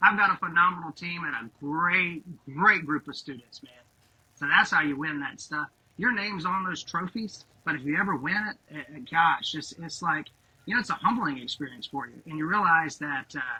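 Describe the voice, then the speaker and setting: Speaking at a moderate pace with a Southern US accent, a high-pitched man shows ordinary pitch variation and big swings in loudness. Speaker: high school principal. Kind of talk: podcast interview. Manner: animated.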